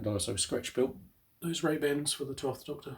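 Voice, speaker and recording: Somewhat breathy, the speech proceeds at a moderate pace. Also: man. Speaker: scale model builder. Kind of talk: casual talk to camera.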